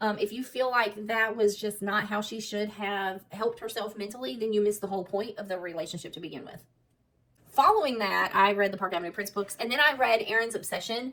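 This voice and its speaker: A woman talks very fast with a Southern US accent. Her pitch is fairly high. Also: ordinary pitch variation. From US South, South Alabama. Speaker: book vlogger. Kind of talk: casual chat.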